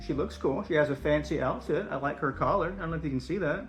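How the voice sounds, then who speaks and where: Music plays in the background as a man speaks in a fairly high voice. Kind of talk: casual talk to camera. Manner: hesitant, rambling.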